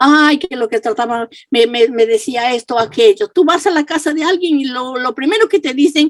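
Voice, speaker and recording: A woman speaks at a high pitch with lively intonation and a fairly slow pace. The sound is dry and close, with no echo. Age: 70s. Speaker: pastor. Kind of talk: sermon.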